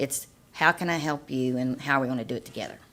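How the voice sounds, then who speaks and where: Pitch varying in an ordinary way, a woman talks at a fairly quick pace. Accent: slight Appalachian. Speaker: health program director. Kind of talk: panel discussion. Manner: animated.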